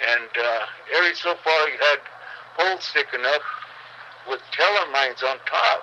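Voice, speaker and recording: A man's fairly high voice, broken by long, frequent pauses, over noticeable background noise. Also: ordinary pitch variation, moderate pace. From Manteca, California. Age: 80s+. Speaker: World War II veteran. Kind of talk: interview answer.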